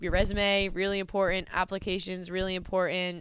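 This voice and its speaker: Speaking with an American accent, a woman keeps her pitch at a medium level. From US Northeast, New Jersey. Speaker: college track and field athlete. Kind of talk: podcast interview.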